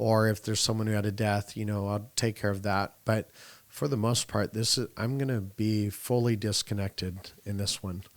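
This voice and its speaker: A man speaks with monotone, flat intonation at a moderate pace. His pitch is fairly low. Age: 40s. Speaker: annuity sales coach and podcast host. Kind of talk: casual podcast conversation.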